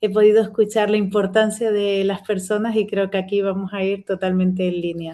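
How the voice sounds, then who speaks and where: At a fairly quick pace, a woman speaks in a dark, mellow tone at medium pitch with monotone, flat intonation. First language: Spanish. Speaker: speaker at professional event. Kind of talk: presentation.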